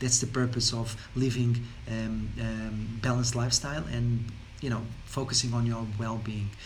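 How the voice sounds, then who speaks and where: A man keeps a moderate pace while audible room echo hangs around his voice. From Portugal. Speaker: wellness coach. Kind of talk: casual talk to camera. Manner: halting, many fillers and repetitions.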